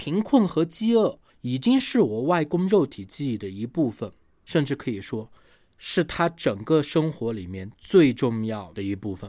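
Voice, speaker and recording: Speaking at a fairly slow pace, a man uses a fairly high pitch, a dark, mellow tone and very wide pitch swings. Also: very clean recording, silent background. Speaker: podcast host. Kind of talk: monologue commentary.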